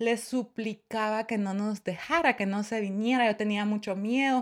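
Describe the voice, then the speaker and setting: On a very clean recording with a silent background, a woman's voice comes through. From Guatemala. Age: 30s. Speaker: podcast host. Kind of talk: casual chat.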